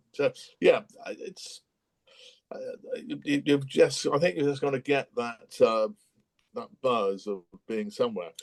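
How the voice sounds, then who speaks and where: A man with a West Country accent talks at a fairly slow pace, leaving long, frequent pauses. His loudness swings widely, and the sound is dry and close with no echo. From Bristol, England. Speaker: businessman. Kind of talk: interview answer. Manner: hesitant, conversational.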